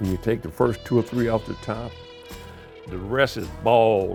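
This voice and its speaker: A man at a moderate pace with a Midwestern American accent, music in the background. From Kansas City, Missouri, USA. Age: 80s+. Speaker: home cook, armed forces veteran. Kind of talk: casual storytelling while cooking.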